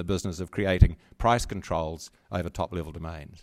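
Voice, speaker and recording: In an ordinary speaking voice, a man talks at a fairly quick pace with lively intonation, captured in a very clean recording over a silent background. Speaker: former internet governance organization chairman and lawyer. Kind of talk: panel discussion.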